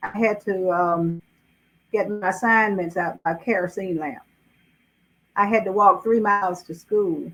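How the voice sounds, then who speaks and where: The speaker has a Southern US accent and a fairly slow pace. Intonation stays fairly even, broken by long, frequent pauses. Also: woman, medium pitch for a woman. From US South, South Carolina (Greenville County). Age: 80s+. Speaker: author. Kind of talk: interview.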